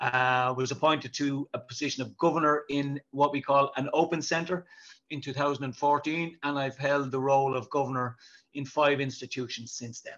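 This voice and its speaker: This man has a fairly high pitch and a Dublin accent. He keeps a moderate pace with monotone, flat intonation. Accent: Dublin Irish. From Dublin, Ireland (South Inner City). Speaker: prison governor. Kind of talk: interview.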